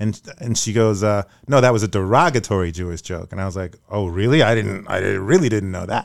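A fairly low-pitched man with a Brooklyn accent, a fairly quick pace with hardly any pauses, ordinary pitch variation, and a very clean recording with a silent background. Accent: New York (Brooklyn). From New York (Brooklyn). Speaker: podcast host, actor and singer. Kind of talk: casual chat. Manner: animated.

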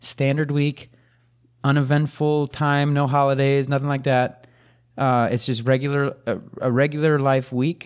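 A man's fairly high-pitched, monotone, flat delivery at a moderate pace, with very even loudness on a very clean recording against a silent background. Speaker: gaming podcast co-host. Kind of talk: casual chat. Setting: studio.

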